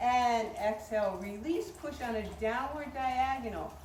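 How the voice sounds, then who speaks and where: A woman talks with lively intonation. Audible room echo and noticeable background noise surround her. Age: 70s. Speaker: tai chi teacher. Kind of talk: outdoor class instruction. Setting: outdoors.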